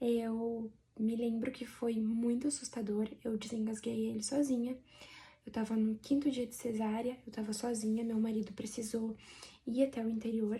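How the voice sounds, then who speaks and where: At a moderate pace, a woman speaks in a fairly high voice with monotone, flat intonation. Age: 30s. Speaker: vlogger. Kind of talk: personal testimony.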